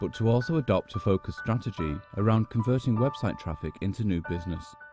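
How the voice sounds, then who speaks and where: The speech moves at a very fast pace with lively intonation. Music plays in the background. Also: man, medium pitch for a man. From British. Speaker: voice actor. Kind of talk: corporate narration.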